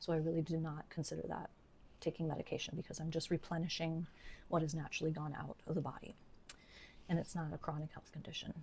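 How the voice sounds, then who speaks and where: A woman speaks at a very fast pace in a very deep, low pitch. Her voice is somewhat breathy and flat in a monotone. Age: 60s. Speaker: registered nurse and health educator. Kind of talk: educational talk to camera.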